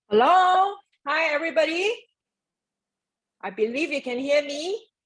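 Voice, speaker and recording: The voice is loud and animated, with lively intonation. It moves at a moderate pace. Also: woman, high pitch for a woman. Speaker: network marketing mentor. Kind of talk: motivational talk.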